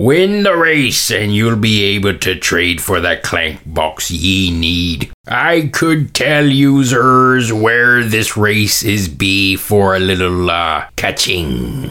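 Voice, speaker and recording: A man's put-on character voice, fairly low-pitched and very slow. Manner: friendly, haggling.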